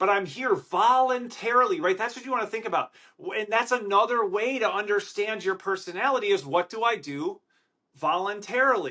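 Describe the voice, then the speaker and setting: A high-pitched man with an American accent, raised and projected, bright and sharp in tone, fairly quick and with lively intonation. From Wisconsin, Milwaukee. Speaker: podcast host. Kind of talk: solo podcast monologue. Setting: hotel room. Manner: loud; animated.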